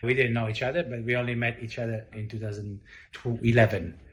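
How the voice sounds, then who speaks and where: A man speaks at a medium pitch and a fairly quick pace. His voice is somewhat breathy, with fairly even intonation. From Italy. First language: Italian. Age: 40s. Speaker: chef and restaurant owner. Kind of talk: interview. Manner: halting, many fillers.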